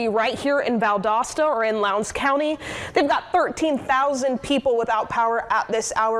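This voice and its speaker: There is noticeable background noise. Over it, a woman talks fairly quickly. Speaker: TV news anchor. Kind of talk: live field report. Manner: energetic.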